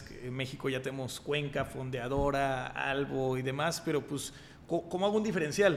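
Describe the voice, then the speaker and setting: The recording has audible room echo around a man's voice. He speaks at a moderate pace with ordinary pitch variation. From Mexico, Monterrey. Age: 30s. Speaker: entrepreneur and investor. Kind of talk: casual chat.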